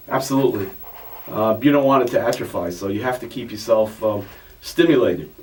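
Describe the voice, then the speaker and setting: Over noticeable background noise, a man talks fairly quickly at a medium pitch with ordinary pitch variation. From Italy, then Astoria, Queens from age six. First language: Italian. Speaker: author. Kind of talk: interview. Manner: halting, many restarts.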